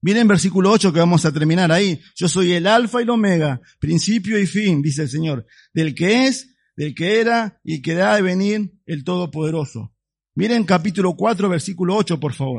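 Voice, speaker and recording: Against a quiet background, a man speaks with a high pitch and lively intonation. His pace is moderate. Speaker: pastor. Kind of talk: sermon. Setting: church. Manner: animated; didactic, expository.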